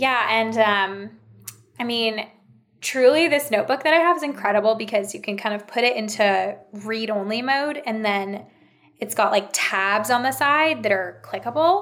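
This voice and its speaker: Moderate pace and lively intonation in an unremarkable speaking voice. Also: woman, fairly high pitch for a woman. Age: 30s. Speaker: interiors content creator. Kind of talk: casual chat.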